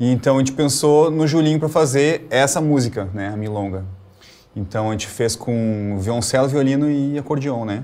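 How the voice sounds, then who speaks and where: This man has a Rio Grande do Sul accent and a dark, mellow tone. He keeps a moderate pace with ordinary pitch variation. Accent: Rio Grande do Sul (gaúcho). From Rio Grande do Sul, Brazil. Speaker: cellist and music professor. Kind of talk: interview. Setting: video call. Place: studio.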